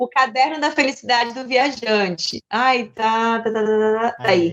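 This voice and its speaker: A woman with a fairly high pitch and ordinary pitch variation talks at a fairly slow pace. She has an unremarkable speaking voice. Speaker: journalist and backpacker traveler. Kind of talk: interview.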